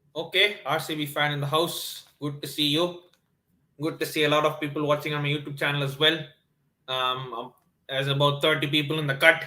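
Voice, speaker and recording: A man speaks fairly quickly in a Tamil accent. His pitch is fairly high and his intonation monotone and flat. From South India, Chennai. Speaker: sports YouTuber. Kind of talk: live stream watchalong chat. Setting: live stream, early morning. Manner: hesitant, many fillers.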